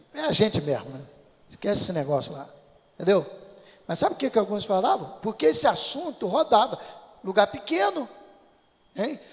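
A high-pitched man speaks at a fairly quick pace with very wide pitch swings and long, frequent pauses over noticeable background noise. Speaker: pastor. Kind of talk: sermon.

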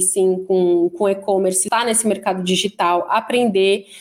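A woman speaks in a normal speaking voice at a moderate pace, with ordinary pitch variation. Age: 30s. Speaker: e-commerce manager. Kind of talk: interview.

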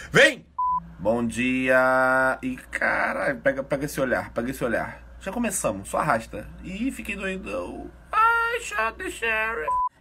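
A man speaks at a very slow pace. Noticeable background noise sits behind him. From Rio de Janeiro, Brazil. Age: 30s. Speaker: Hearthstone streamer. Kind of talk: casual chat.

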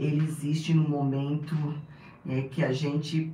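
A woman speaks with a very deep, low voice. Noticeable background noise and audible room echo surround her. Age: 60s. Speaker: pastor. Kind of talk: casual interview.

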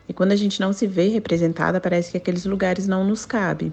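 Fairly quick in pace, a woman speaks. She has a normal speaking voice. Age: 30s. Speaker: teacher. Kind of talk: recorded testimony.

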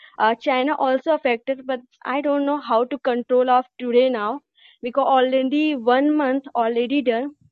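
A woman with an Indian accent talks at a moderate pace and high pitch, keeping her intonation fairly even. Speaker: caller. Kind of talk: phone-in discussion. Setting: phone call. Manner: halting.

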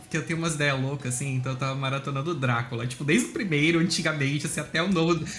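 Against noticeable background noise, the words come very fast, and the pitch varies in an ordinary way. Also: man. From Brazil, Santa Catarina (Blumenau). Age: 20s. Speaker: meme page creator, guest. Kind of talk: casual chat.

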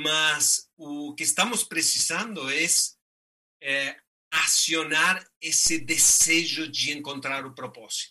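A man with a fairly high pitch, ordinary pitch variation, a very slow pace and a Spanish accent. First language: Spanish (speaking Portuguese). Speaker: ultramarathon runner and activist. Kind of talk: motivational talk.

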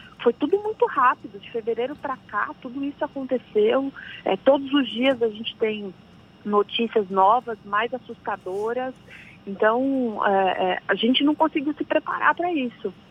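A woman speaks at a moderate pace in a high voice, with ordinary pitch variation and big swings in loudness, over noticeable background noise. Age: 30s. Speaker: labor law consultant. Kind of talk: radio interview. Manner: hesitant, frequent fillers.

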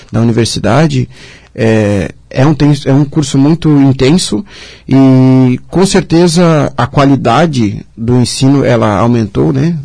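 This man has a medium pitch and a dark, mellow tone that is somewhat breathy. He speaks at a very slow pace. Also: ordinary pitch variation, very even loudness. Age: 20s. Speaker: civil engineer. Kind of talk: radio interview. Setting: radio studio, also streamed live on social media.

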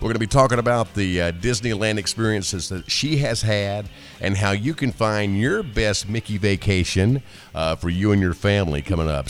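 Music plays behind a man speaking at a moderate pace. His pitch is fairly low and his intonation is lively. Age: 50s. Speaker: podcast host. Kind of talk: casual monologue. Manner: animated.

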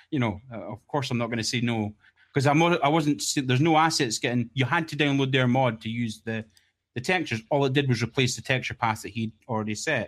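Very fast and with a strong Scottish accent, a man speaks at a medium pitch with ordinary pitch variation. The recording is very clean, with a silent background. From Scotland. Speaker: game texture modder. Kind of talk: casual chat.

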